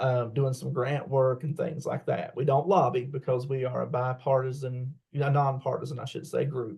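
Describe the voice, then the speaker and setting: In a West Virginia accent, the voice is somewhat breathy with a dark, mellow tone, monotone, flat intonation and a moderate pace. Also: man. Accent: southern West Virginia. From southern West Virginia, McDowell County. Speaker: college teacher and parent advocate. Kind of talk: interview. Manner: halting, many fillers.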